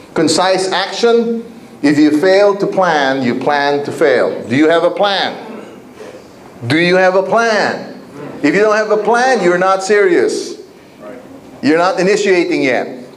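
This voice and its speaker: With an energetic tone and a high pitch, a man talks at a fairly slow pace, leaving long, frequent pauses, his intonation lively and his loudness very even, while audible room echo and noticeable background noise sit around him. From Asia, with eleven years in Africa. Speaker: network marketing trainer. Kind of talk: motivational seminar talk. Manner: energetic, repetitive call-and-response.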